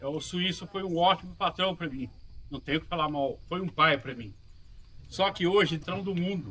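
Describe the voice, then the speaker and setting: With ordinary pitch variation, a man holds a high pitch and a moderate pace. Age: 60s. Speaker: farm worker. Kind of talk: testimony.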